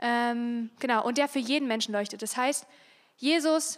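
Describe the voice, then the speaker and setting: The woman's high voice moves along at a fairly quick pace. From Saxony, Germany (Freiberg). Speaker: youth social worker giving a talk. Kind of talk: youth church talk. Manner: casual, with many fillers.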